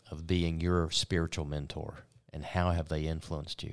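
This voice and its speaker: Flat and monotone, a man speaks in a very deep, low pitch. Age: 60s. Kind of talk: casual chat. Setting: studio.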